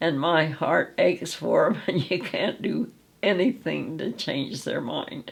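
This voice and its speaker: Her voice is fairly low and carries vocal fry. The woman speaks at a fairly slow pace with very wide pitch swings. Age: 80s+. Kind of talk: interview answer. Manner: warm.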